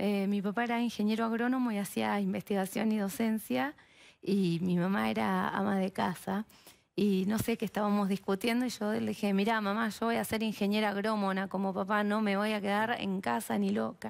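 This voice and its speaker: Against a quiet background, a woman speaks at a moderate pace with fairly even intonation and very even loudness. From Argentina, Mar del Plata; Argentina. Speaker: biologist and researcher; guest. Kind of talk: TV interview. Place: studio. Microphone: headset.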